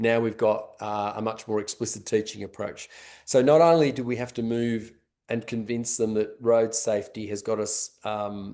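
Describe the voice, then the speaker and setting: A man speaks in an Australian accent at a medium pitch and moderate pace. His tone is dark and mellow, his intonation fairly even. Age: 60s. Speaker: road safety education expert. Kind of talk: webinar panel discussion. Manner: halting, many fillers and restarts.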